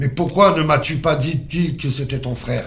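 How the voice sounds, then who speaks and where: A man does a put-on character voice at a fairly high pitch. He keeps a moderate pace over light background noise. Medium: read story.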